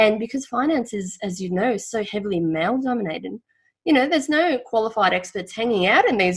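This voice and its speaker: A woman's somewhat breathy, medium-pitched voice at a very fast pace, with lively intonation. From former Yugoslavia. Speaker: financial planner and author. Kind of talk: interview.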